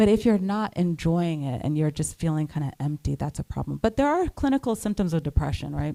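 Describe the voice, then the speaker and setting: In an American accent, a woman speaks at a fairly quick pace with hardly any pauses, her fairly low voice dark and mellow with lively intonation, the sound dry and close with no echo. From Trinidad, raised partly in New Jersey. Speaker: psychiatrist. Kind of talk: panel interview on stage.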